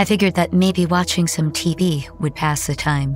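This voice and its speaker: Music plays behind a woman's voice. She talks at a moderate pace with fairly even intonation. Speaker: story narrator. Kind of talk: horror fiction reading. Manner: ranting, bitter, conversational.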